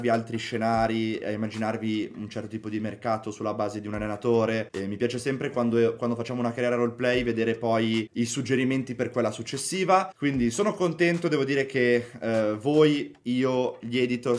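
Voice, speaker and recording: A man at a fairly quick pace, ordinary pitch variation, hardly any pauses. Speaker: gaming content creator. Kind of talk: casual gaming commentary to viewers. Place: home room.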